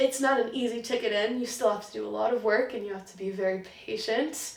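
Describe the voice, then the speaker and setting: Talking at a very fast pace, a woman with a fairly high pitch shows big swings in loudness, and audible room echo is present. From US, partly raised in Germany. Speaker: film student, writer and script supervisor. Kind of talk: interview. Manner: animated.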